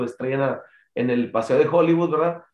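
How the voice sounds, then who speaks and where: This man's voice sits at a fairly high pitch. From northern Mexico, Chihuahua. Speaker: singer and bandleader. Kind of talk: interview. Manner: halting.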